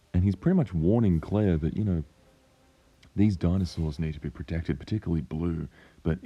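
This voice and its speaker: A man speaks at a fairly quick pace in a very deep, low voice that sounds croaky, with a dark, mellow tone, ordinary pitch variation and a quiet background. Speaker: paleontology enthusiast. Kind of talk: film trailer breakdown commentary. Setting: cheap microphone.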